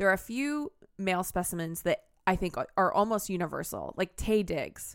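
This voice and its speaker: In a very clean recording with a silent background, a woman speaks at a moderate pace in a plain, everyday voice. Her pitch is medium and her intonation lively. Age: 30s. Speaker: podcast co-host. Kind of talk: casual chat.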